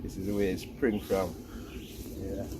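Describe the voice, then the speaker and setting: The man speaks at a fairly quick pace. Audible room echo surrounds his voice. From Jamaica, St. Elizabeth. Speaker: tobacco farmer. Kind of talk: casual demonstration talk.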